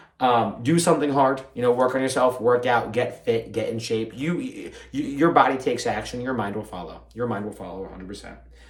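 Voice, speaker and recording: A man's medium-pitched voice with audible room echo. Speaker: podcast host and fitness professional. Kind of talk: solo podcast monologue. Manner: fast; mumbling at times.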